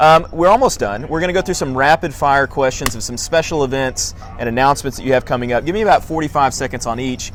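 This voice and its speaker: A man's fairly high voice at a very fast pace with hardly any pauses, ordinary pitch variation, and noticeable background noise. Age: 30s. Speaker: orthodontist podcast host. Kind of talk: casual interview chat. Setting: outdoors at sunset, filmed live.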